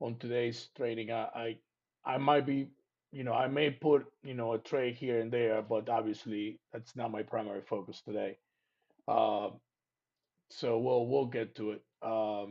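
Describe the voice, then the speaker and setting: A man at a medium pitch, fairly slow in pace, with fairly even intonation. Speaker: trading educator. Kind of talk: live training stream. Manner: hesitant, many fillers and repetitions; loud, speaking up for the mic.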